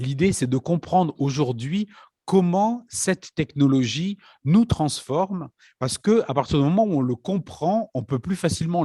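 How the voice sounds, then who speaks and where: A man speaks with a dark, mellow, somewhat breathy tone and lively intonation. The recording is very clean with a silent background, and the sound is dry and close with no echo. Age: old. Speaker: conference moderator. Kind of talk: conference talk. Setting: parish hall conference.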